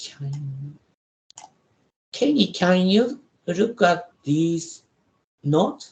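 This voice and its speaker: Speaking in a Japanese accent, a man with a high pitch talks at a very slow pace, using lively intonation and long, frequent pauses. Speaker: professor. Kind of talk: lecture. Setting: video call. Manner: halting.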